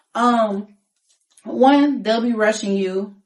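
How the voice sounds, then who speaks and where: An animated tone with audible room echo. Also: woman. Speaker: singer and rapper. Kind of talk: casual interview. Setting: studio.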